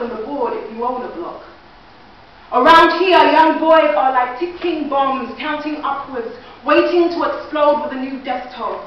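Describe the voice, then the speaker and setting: A woman with a high pitch speaks at a moderate pace and ordinary pitch variation, with audible room echo and noticeable background noise. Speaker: spoken word poet. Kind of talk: spoken word performance. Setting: stage with audience. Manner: loud.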